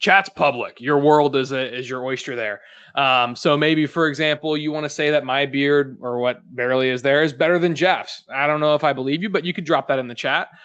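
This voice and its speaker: A man's fairly high voice at a fairly quick pace, with fairly even intonation, hardly any pauses, and a quiet background. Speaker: marketing executive hosting a webinar. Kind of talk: webinar hosting. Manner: fast.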